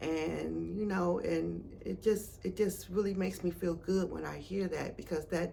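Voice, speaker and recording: Audible room echo rings around the voice. A woman is talking fairly slowly. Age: 60s. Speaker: retired teacher and craft seller. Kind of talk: interview. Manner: hesitant with many fillers.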